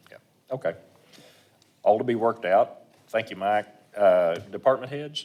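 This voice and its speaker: A man at a moderate pace, with long, frequent pauses and big swings in loudness. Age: 60s. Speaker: mayor chairing council meeting. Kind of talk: chairing a meeting.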